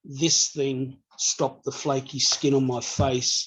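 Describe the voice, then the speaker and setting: Someone with an Australian accent speaks at a very slow pace. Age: 50s. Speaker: customer sharing product testimony. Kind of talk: testimony.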